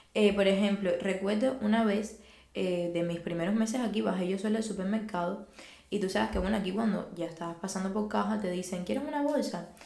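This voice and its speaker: A woman talks fairly quickly at medium pitch, with ordinary pitch variation. Room echo and background noise are both noticeable. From Cuba. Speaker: podcast guest. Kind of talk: casual interview chat.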